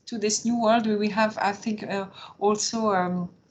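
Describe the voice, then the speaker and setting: In a French accent, a woman with a fairly high, somewhat breathy voice speaks in a monotone, flat manner. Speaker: opera marketing manager. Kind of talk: webinar panel discussion. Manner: halting.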